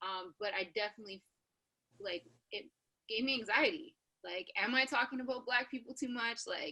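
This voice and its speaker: With lively intonation and a high pitch, a woman speaks with long, frequent pauses. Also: moderate pace. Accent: American. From Canada. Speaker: radio host. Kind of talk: panel discussion.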